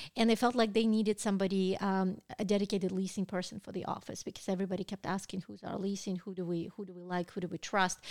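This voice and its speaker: With a Russian accent, a woman rushes along at a very fast pace with hardly any pauses, her medium-pitched voice flat and monotone yet swinging widely in loudness. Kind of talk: casual interview chat.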